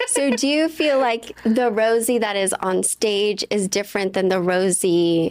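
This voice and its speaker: A woman's medium-pitched voice, with ordinary pitch variation, is heard over noticeable background noise. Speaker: podcast host, comedian. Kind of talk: casual chat. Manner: loud, boisterous on camera.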